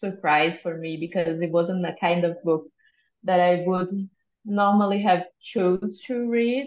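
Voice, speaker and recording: With a Brazilian accent, a woman speaks at a fairly slow pace and fairly low pitch, with ordinary pitch variation. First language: Portuguese. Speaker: psychologist, book club member. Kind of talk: casual group discussion on video call. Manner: halting.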